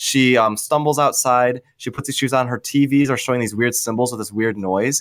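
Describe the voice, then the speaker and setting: Here is a man with a plain, everyday voice at medium pitch. He talks at a moderate pace with fairly even intonation. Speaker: podcast co-host. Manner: joking.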